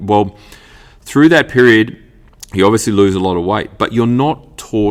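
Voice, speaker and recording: A man talks at a fairly quick pace with an Australian accent. His pitch varies in an ordinary way. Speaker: fitness coach and podcast host. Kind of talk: solo podcast monologue. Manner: animated, passionate; halting, stumbling over words.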